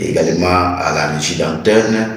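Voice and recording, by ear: A man's voice comes through with a low pitch and a fairly bright tone. Strong room echo fills the recording.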